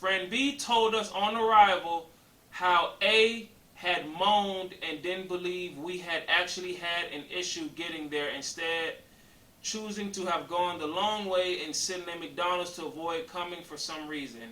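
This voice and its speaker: Speaking fairly slowly at a high pitch, a man swings widely in loudness. His voice has audible room echo. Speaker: YouTuber co-host of couples channel. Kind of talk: reading aloud with commentary. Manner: halting, stumbles over words.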